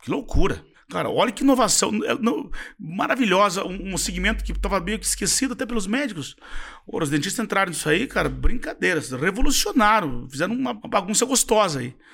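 Talking at a fairly quick clip, a man with a high voice swings his pitch very widely over noticeable background noise. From Brazil, interior of Paraná. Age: 50s. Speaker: dental franchise founder and CEO. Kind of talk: interview.

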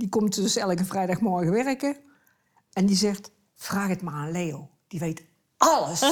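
A woman's somewhat breathy, medium-pitched voice, fairly slow, with lively intonation and long, frequent pauses. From Tilburg, Netherlands. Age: 70s. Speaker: retired neighbour, wife. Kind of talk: casual interview at home. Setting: living room at home.

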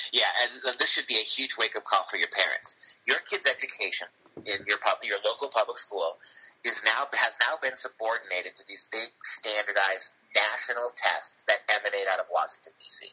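A man with a Cleveland accent is heard in a dry, close sound with no echo. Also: moderate pace. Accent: Midwestern American (Cleveland). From Ohio, Cleveland. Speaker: English professor. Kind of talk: interview.

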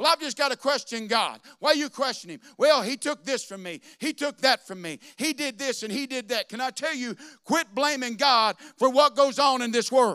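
An animated man's raised, projected voice, extremely high in pitch with a bright, sharp tone, ordinary pitch variation, a moderate pace and hardly any pauses, on a very clean recording with a silent background. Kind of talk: sermon. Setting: church. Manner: animated, call-and-response preaching, urging the congregation to shout back.

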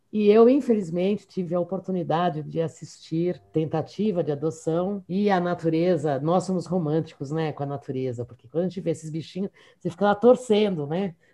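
A woman with a São Paulo accent and a dark, mellow tone speaks fairly quickly with hardly any pauses, her pitch fairly low with ordinary variation and her loudness swinging widely. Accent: São Paulo Mooca. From São Paulo, Mooca district. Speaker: university professor. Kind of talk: casual interview.

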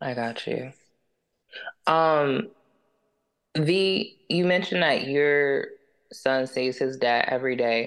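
A woman talks very slowly in a very deep, low voice, leaving long, frequent pauses. Her intonation is lively. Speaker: podcast host. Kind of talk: casual chat.

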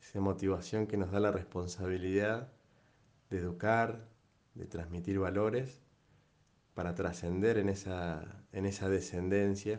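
Speaking in an Argentine accent at a fairly slow pace, the voice stays monotone and flat, with long, frequent pauses and audible room echo. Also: man, fairly low pitch for a man. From Argentina, Entre Ríos. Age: 30s. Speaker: father giving a testimony. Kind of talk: personal testimony.

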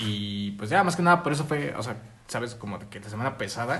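With a Mexican accent, a man talks at a very fast pace in a medium pitch. His pitch varies in an ordinary way, and audible room echo is present. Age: 20s. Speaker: podcast co-host. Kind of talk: casual chat.

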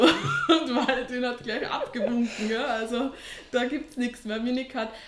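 A woman's high voice over noticeable background noise. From Austria. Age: 30s. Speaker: online fitness coach and teacher. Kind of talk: casual interview.

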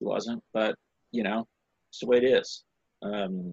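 In an American accent, a man talks at a moderate pace and medium pitch, the sound dry and close with no echo. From South Carolina. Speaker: high school basketball coach. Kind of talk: interview.

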